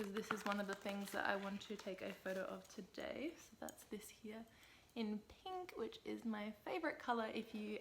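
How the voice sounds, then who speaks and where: A soft-spoken woman with an Australian accent talks at a moderate pace in a fairly high voice with ordinary pitch variation. Noticeable background noise can be heard. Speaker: lifestyle vlogger. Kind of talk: casual vlog. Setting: at home.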